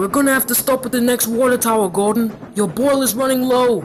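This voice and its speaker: A man's put-on character voice, extremely high in pitch, at a fairly quick pace over clear background noise. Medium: machinima.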